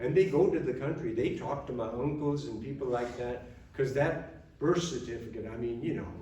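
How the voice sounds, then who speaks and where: A man talks at a fairly quick pace with ordinary pitch variation, with audible room echo and noticeable background noise. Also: fairly high pitch for a man. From Germany, moved to US at 12. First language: German. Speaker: retired army officer, veteran. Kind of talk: after-dinner speech. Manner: casual, conversational.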